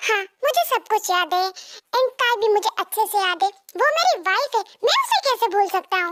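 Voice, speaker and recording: In a put-on, squeaky character voice, a woman speaks at an extremely high pitch with ordinary pitch variation. Her fairly quick pace comes with very even loudness. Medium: read story. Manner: affectionate, clingy.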